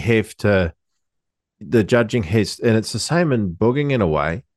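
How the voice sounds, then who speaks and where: A man with a New Zealand accent, medium pitch and lively intonation, over a quiet background. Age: 30s. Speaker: podcast co-host. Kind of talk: casual chat. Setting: home studio, video call.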